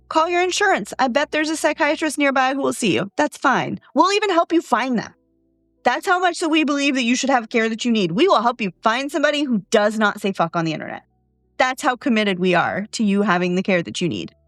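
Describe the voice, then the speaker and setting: A woman talks at a very fast pace in a high pitch, with an animated tone and very wide pitch swings. Music plays in the background, and the sound is dry and close with no echo. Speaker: CEO of a mental health practice, podcast host. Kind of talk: solo podcast monologue. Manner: loud and bombastic.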